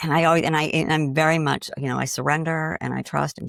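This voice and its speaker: A woman talking at a very fast clip, with a slight Boston accent. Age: 60s. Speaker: grief coach. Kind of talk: interview conversation.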